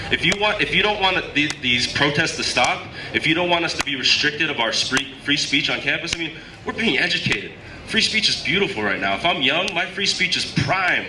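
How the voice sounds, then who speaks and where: Shouting loudly at a fairly quick pace, a man with a high pitch uses an animated tone and lively intonation amid noticeable background noise and audible room echo. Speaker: student activist. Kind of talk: rally speech. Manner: loud, shouting; animated, repetitive.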